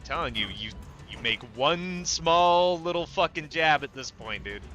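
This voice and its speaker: A man's fairly high voice at a moderate pace, with big swings in loudness and music in the background. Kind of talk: casual chat.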